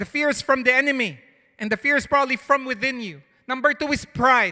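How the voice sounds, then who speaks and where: A man's raised, projected voice, extremely high in pitch and bright and sharp in tone, in a very clean recording with a silent background. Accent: non-native. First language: not English. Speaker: pastor. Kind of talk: sermon. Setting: church. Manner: conversational, halting.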